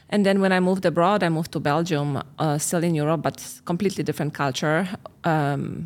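A woman speaks fairly quickly in a Polish accent, her pitch very deep and low. The recording is very clean, with a silent background. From Poland. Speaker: relationship coach and podcast host. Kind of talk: casual chat.

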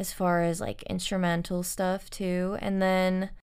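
A woman's relaxed, medium-pitched voice with an American accent. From Los Angeles, US. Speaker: singer-songwriter. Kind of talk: casual interview. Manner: relaxed, easygoing.

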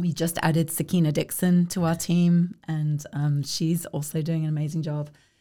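Slowly and in a flat monotone, a woman with a southern English accent speaks at a very deep, low pitch with a dark, mellow tone. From South East England (Kent). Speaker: arts organization leader. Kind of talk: interview.

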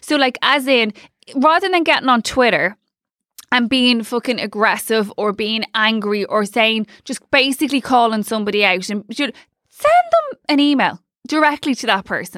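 A woman speaks in an Irish accent at a high pitch. Her tone is bright and sharp, and her intonation is lively. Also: moderate pace. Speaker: podcast co-host. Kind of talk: casual chat.

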